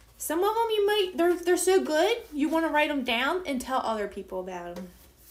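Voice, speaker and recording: A woman with an American accent speaks at a fairly quick pace in a high pitch with very wide pitch swings, over noticeable background noise and audible room echo. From United States. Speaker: home baking livestreamer. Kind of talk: live baking stream chatting with viewers. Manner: casual, chatty.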